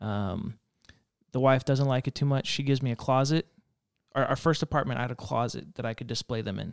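A normal speaking voice with an American accent moves at a fairly quick pace with ordinary pitch variation, in a dry, close sound with no echo. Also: man, medium pitch for a man. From Reno, Nevada. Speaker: children's pastor. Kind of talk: casual chat. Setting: studio.

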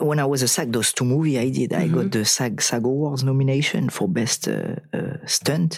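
This man speaks with a French accent. His pitch sits in the medium range. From southern France. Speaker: actor and stuntman. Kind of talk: casual interview. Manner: halting, repeats words.

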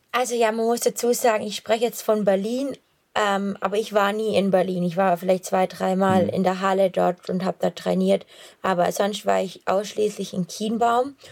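Medium-pitched female voice with fairly even intonation, delivered at a moderate pace. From Swabia, Swabian Jura. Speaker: long-distance runner. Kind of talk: casual chat. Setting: outdoors, on a run.

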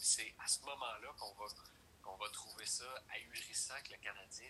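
A man speaks at a moderate pace. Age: 30s. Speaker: hockey commentator. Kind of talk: casual sports chat.

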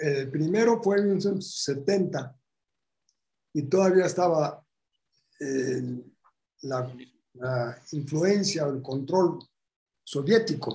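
A man's fairly high-pitched voice with a dark, mellow tone, lively intonation, a very slow pace and long, frequent pauses. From Bulgaria. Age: 80s+. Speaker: Holocaust survivor. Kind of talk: interview.

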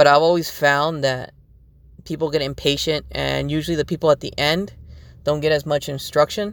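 A man talks at a moderate pace in a normal speaking voice. His pitch is fairly high, with fairly even intonation. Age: 20s. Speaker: folklórico dance instructor and podcast host. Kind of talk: casual solo monologue.

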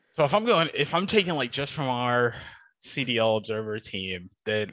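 Speaking with a Midwestern American accent, a man uses a bright, sharp tone and very wide pitch swings. The background is quiet. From US, Detroit, Michigan. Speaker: esports broadcast observer. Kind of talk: casual interview.

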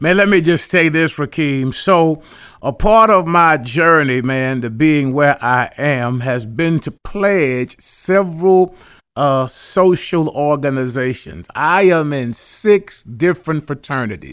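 A man speaks at a very slow pace with a fairly high pitch and ordinary pitch variation. The recording is very clean, with a silent background. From Houston, Texas. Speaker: pastor. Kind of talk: casual chat. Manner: animated.

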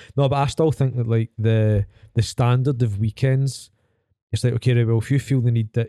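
A man with a Scottish accent speaks at a medium pitch and a fairly quick pace, in a dark, mellow tone. The sound is dry and close, with no echo. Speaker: fitness coach, podcast host. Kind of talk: casual chat. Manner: animated storyteller.

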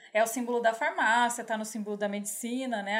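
Fairly quick speech from a woman with a fairly high pitch. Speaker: podcast host and astrologer. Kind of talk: casual chat. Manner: fast.

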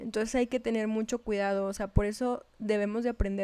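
Spoken with a northern Mexican accent, the voice has a dark, mellow tone and monotone, flat intonation at a fairly quick pace. The recording is very clean, with a silent background. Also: woman. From northern Mexico. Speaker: podcast co-host. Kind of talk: casual chat.

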